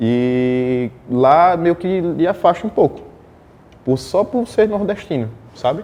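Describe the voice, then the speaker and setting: In a dark, mellow tone, a man speaks very slowly at a high pitch with very wide pitch swings. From Northeast Brazil. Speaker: fashion model. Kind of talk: interview.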